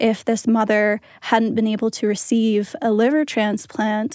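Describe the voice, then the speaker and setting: A woman with an American accent has a dark, mellow tone. Her pitch is fairly high. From Pennsylvania, US. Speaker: student podcast team member. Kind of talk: reflective interview.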